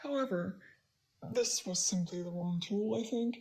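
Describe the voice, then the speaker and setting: With ordinary pitch variation, a woman talks at a medium pitch in a somewhat breathy voice. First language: not English. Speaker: digital illustrator. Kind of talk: narrated art process commentary. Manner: hesitant, many fillers. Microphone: poor recording quality in first three minutes.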